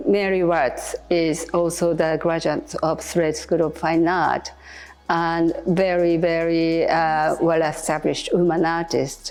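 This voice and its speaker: A woman talks very slowly in a Japanese accent. Her pitch is fairly low and her intonation flat and monotone. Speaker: artist. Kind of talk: interview. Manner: halting.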